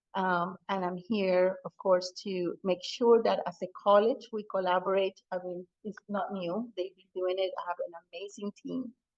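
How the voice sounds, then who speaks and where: A woman's medium-pitched voice with a non-native accent, fairly slow with hardly any pauses, flat and monotone in intonation, with big swings in loudness. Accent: foreign. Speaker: college president. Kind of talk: public meeting remarks. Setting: hybrid community meeting, in person and Zoom. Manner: halting, with fillers.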